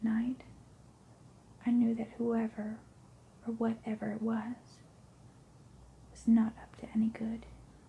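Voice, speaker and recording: The speaker is soft-spoken and keeps to a fairly slow pace. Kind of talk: ASMR scary story narration, first person.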